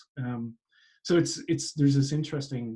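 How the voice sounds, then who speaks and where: A man with a Canadian accent at a moderate pace, somewhat breathy, with a dark, mellow tone, medium pitch, and fairly even intonation. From Canada. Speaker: continuing education director, telemedicine expert. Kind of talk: interview.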